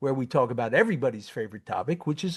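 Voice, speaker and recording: Pitched fairly high, a man with a slight New York accent speaks with very wide pitch swings. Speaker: tax consulting firm founder, podcast co-host. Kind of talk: educational podcast. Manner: casual, many fillers.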